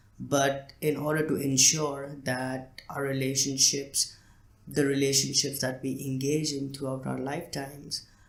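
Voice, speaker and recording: A man's monotone, flat delivery at a fairly slow pace, with noticeable background noise. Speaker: podcast host. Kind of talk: solo podcast talk. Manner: hesitant, many fillers.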